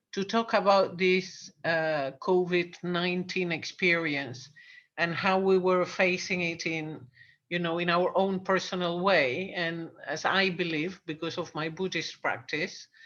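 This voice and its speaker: A woman with a British accent, fairly low in pitch, at a fairly slow pace with fairly even intonation against a quiet background. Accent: British-leaning English. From Argentina. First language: Spanish. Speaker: coach and channel host. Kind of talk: casual interview chat.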